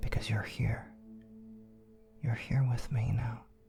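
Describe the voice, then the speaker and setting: Music plays behind a man speaking at a medium pitch. His intonation stays fairly even. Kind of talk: ASMR comfort affirmations. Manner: soft-spoken.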